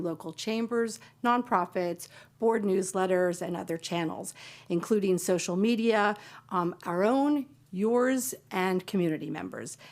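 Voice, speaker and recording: In a very clean recording with a silent background, a woman with an unremarkable speaking voice talks at a moderate pace and medium pitch, varying it in an ordinary way. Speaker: county staff presenter. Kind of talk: presentation to county board. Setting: public board meeting.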